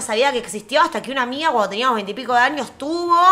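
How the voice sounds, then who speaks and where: Amid noticeable background noise, a woman with a Rioplatense accent speaks in a raised, projected voice at a high pitch with lively intonation. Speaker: podcast co-host. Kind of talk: casual chat.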